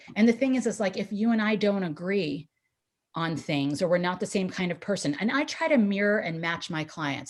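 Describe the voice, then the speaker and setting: Talking at a fairly quick pace, a woman with an American accent swings her pitch very widely. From New York City. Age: 40s. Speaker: real estate agent. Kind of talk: webinar talk. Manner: fast; energetic.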